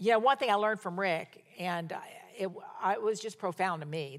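Talking very fast, a woman uses ordinary pitch variation. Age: 70s. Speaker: pastor. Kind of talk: sermon.

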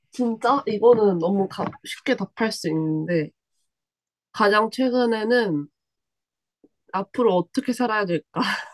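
A woman's fairly high voice at a very slow pace, with long, frequent pauses, ordinary pitch variation, and a dry, close sound with no echo. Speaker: graduate student and former college radio member. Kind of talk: casual chat. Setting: remote connection.

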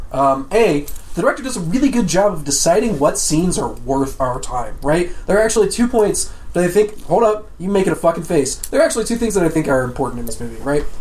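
With noticeable background noise, a man speaks at a very fast pace and high pitch, his pitch swinging very widely. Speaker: podcast co-host. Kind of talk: casual banter.

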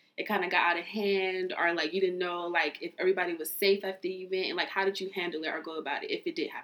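A woman with an American accent at a medium pitch, very fast pace and ordinary pitch variation over noticeable background noise. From South Central Los Angeles. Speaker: podcast host. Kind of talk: casual interview; scripted show outro.

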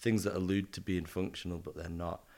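A man with a northern English accent, very deep and low in pitch, his intonation fairly even. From northern England. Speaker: artist and designer. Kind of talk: casual interview chat. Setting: at home in London.

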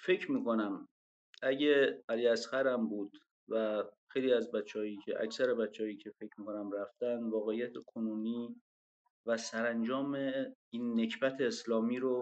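A man with an unremarkable speaking voice and a medium pitch talks at a fairly slow pace with fairly even intonation. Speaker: former political prisoner. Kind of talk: online panel discussion. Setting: online audio room.

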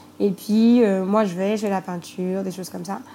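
A woman's plain, everyday voice, medium in pitch, with fairly even intonation. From Côte d'Ivoire, Grand-Bassam. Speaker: entrepreneur. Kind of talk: interview. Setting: remote call.

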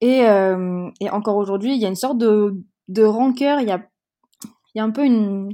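A woman has a fairly high pitch and a dark, mellow tone, with ordinary pitch variation. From Madagascar (from age 6 to 16), early childhood Marseille. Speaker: podcast guest. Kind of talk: casual interview. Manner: hesitant, many fillers.

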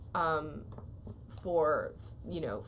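A woman with an American accent, in audible room echo. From US Midwest (Waterloo, Iowa). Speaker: podcast host and photographer. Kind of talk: interview.

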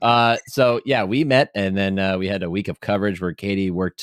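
A man speaks at a fairly quick pace in an ordinary speaking voice, fairly low in pitch. His pitch variation is ordinary, and the sound is dry and close with no echo. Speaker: podcast host. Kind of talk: casual chat. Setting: video call.

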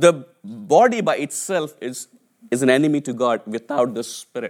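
A man with an Indian accent speaks at a moderate pace with lively intonation. The recording is very clean, with a silent background. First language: an Indian language (English is third language). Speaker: preacher. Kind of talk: sermon. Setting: church.

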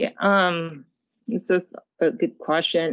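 This woman talks at a very slow pace with an American accent. Her voice sits at medium pitch with ordinary pitch variation. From England, Zimbabwe, New York and Japan. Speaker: general counsel. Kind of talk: interview.

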